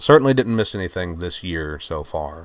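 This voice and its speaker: In an American accent, a man with a very deep, low pitch speaks at a fairly quick pace. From US South, Virginia. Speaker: YouTuber. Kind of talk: casual monologue. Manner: halting, many fillers.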